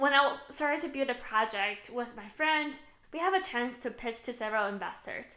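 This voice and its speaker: In a Chinese accent, a woman speaks at a high pitch and a fairly quick pace. Her tone is bright and sharp, with lively intonation. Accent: Mandarin Chinese accent in English. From China. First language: Mandarin. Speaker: author. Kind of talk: book promotion talk.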